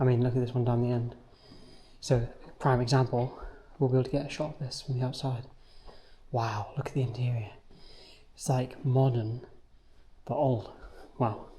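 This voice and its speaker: A man speaks in a somewhat breathy, dark, mellow tone at medium pitch. His pace is moderate, broken by long, frequent pauses. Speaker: street photography vlogger. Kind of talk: casual vlog narration while walking. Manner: animated.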